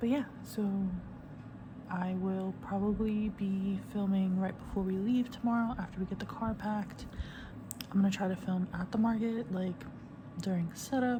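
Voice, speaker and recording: Amid noticeable background noise, a woman speaks quietly at medium pitch with fairly even intonation and long, frequent pauses. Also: moderate pace. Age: 30s. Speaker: craft vlogger. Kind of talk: casual vlog. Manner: hesitant with many fillers.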